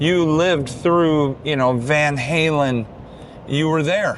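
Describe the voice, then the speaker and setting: A fairly high-pitched man at a moderate pace, with ordinary pitch variation and noticeable background noise. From Detroit, US Midwest. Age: 60s. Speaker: guitar player and performer. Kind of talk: casual vlog talk to camera.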